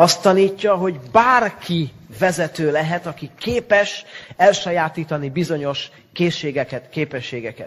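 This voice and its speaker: A man with a Hungarian accent speaks at a moderate pace. His pitch is high, and his intonation is lively. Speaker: interpreter. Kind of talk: consecutive interpreting.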